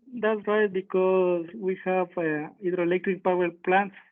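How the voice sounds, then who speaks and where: The speaker is a man with a Spanish accent. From Ecuador. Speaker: power system engineer. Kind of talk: technical presentation. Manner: halting.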